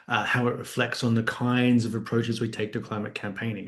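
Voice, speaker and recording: A man with an Australian accent and a medium pitch talks at a fairly quick pace, with audible room echo. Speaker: academic author. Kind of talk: book talk lecture. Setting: online video event. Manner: conversational with frequent fillers.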